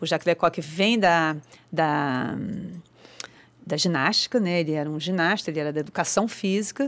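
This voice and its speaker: Speaking at a moderate pace with long, frequent pauses, a woman uses a fairly low pitch and ordinary pitch variation on a very clean recording with a silent background. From Rio de Janeiro, Ilha do Governador. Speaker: actress and theatre teacher. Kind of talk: casual interview. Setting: studio.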